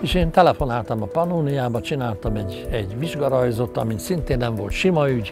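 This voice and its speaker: A man talks at a fairly quick pace with hardly any pauses and very wide pitch swings. The sound is dry with no echo, and clear music plays in the background. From Hungary. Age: 70s. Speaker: animated film director. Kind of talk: interview answer. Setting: outdoors. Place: garden. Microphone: lapel.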